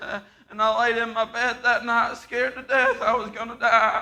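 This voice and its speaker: A man uses a raised, projected voice at an extremely high pitch. He keeps a moderate pace, and audible room echo surrounds him. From Appalachian Kentucky, Harlan. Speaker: guest preacher. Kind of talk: sermon with personal testimony. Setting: church service. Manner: halting, frequent uh and repeated words.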